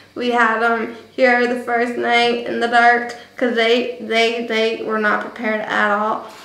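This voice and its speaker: A woman with an American accent speaks in a monotone, flat intonation at a fairly slow pace with hardly any pauses, amid audible room echo. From New Jersey. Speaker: vlogger. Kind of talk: casual vlog monologue. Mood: reflective, emotional storytelling. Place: home room. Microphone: webcam.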